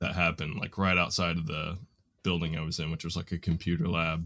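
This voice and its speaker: A bright, sharp tone with flat, monotone intonation and an American accent. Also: man. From US South, Nashville Tennessee. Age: 30s. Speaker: hardware store worker. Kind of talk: casual conversation. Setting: remote recording.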